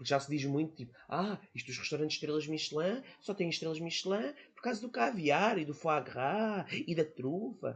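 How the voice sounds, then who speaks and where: With a European Portuguese accent, a man talks at a fairly quick pace in a fairly high pitch with lively intonation. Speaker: podcast guest. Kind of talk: casual chat.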